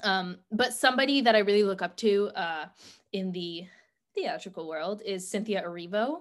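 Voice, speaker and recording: On a very clean recording with a silent background, a woman speaks at medium pitch and a moderate pace with ordinary pitch variation. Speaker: college student and amateur songwriter. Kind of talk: casual interview chat. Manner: hesitant, many fillers.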